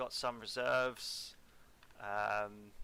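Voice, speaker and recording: In a bright, sharp tone, a man speaks with monotone, flat intonation. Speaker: wargame umpire. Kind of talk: casual game organizing chat.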